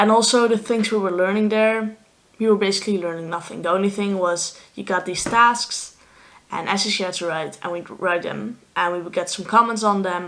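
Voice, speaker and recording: A woman with a Dutch accent speaks at a medium pitch and moderate pace, with fairly even intonation. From Netherlands. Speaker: vlogger, student athlete. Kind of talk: casual vlog monologue.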